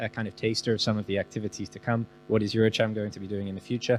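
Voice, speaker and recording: Talking at a very fast pace with a British accent, a man with a fairly low pitch is heard over music in the background. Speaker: business chamber representative. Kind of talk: panel discussion.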